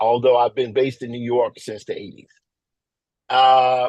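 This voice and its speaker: This man has an American accent and a medium pitch, talking at a moderate pace. The sound is dry and close, with no echo. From US South, Mississippi. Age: 50s. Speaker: visual artist and comics illustrator. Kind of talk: workshop presentation. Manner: casual, with many filler words.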